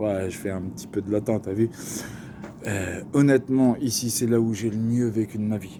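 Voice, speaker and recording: In a dark, mellow tone, a man speaks at a medium pitch and a fairly slow pace. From Paris region, France. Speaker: vlogger. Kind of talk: casual storytelling monologue. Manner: animated, slangy.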